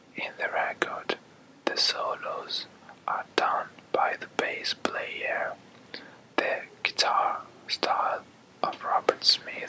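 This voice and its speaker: Someone is whispering at a very slow pace with long, frequent pauses. Noticeable background noise is present. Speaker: ASMR whisper video creator. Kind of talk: whispered music talk. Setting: outdoors on house terrace at night.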